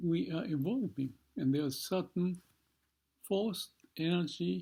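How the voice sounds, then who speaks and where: A man's voice in a dark, mellow tone with lively intonation. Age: 70s. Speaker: vlogger. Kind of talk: reflective monologue. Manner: halting.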